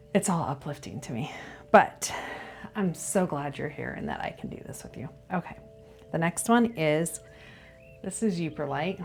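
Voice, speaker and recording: Over background music, a woman with a very deep, low pitch speaks at a moderate pace with lively intonation. Her loudness swings widely, and she leaves long, frequent pauses. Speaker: reiki practitioner showing crystals. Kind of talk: casual video tutorial. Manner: frequent filler uh and um.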